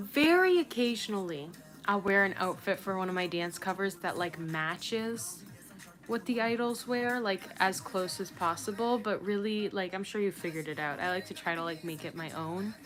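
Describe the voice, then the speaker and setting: A woman speaks at a moderate pace in a medium pitch, her intonation ordinarily varied, with music playing in the background. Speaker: livestreamer and dance cover creator. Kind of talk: casual livestream chat. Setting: solo livestream. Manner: casual, hesitant with fillers.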